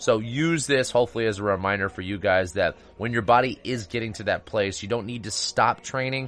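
A man talks at a fairly quick pace with hardly any pauses. He has a normal speaking voice at medium pitch. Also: ordinary pitch variation. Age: 30s. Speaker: health and fitness podcast host. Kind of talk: solo podcast monologue. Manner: casual, conversational with fillers.

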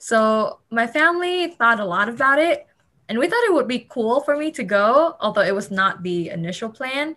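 A woman with a Vietnamese accent talks at a moderate pace in a high pitch, her bright, sharp tone making very wide pitch swings. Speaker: student. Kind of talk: casual chat.

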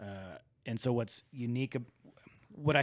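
This man has an unremarkable speaking voice. His medium pitch shows ordinary variation. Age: 40s. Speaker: ultra runner and entrepreneur. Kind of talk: casual interview.

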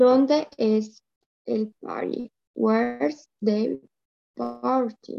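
Here a woman speaks at a very slow pace. Her speech has long, frequent pauses. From Colombia. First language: Spanish. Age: 20s. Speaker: language student. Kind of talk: language lesson practice. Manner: halting.

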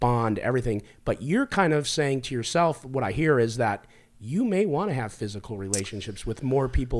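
Recorded very cleanly against a silent background, a man speaks in a normal speaking voice at a medium pitch and moderate pace. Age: 50s. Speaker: podcast host. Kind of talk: casual chat. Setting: studio.

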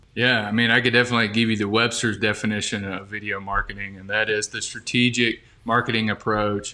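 Speaking with an Alabama accent, a man has a fairly low pitch and a bright, sharp tone. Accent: Southern US (Alabama). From US South, Birmingham, Alabama. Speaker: marketing specialist. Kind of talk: podcast interview.

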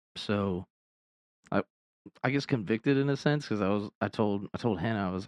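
The speech comes at a very fast pace with ordinary pitch variation, in a dry, close sound with no echo. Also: man. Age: 30s. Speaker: podcast host and ministry co-founder. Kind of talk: casual chat about faith and personal testimony. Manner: casual with many fillers.

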